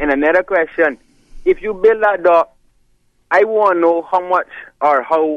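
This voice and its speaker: Ordinary pitch variation marks this voice in a Caymanian accent. It moves at a moderate pace. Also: man. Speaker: caller. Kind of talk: heated debate.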